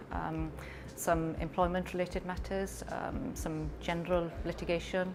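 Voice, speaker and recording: Moderate pace with a Welsh accent. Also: woman. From Wales. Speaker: lawyer. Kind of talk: interview talk. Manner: hesitant, many ums; calm.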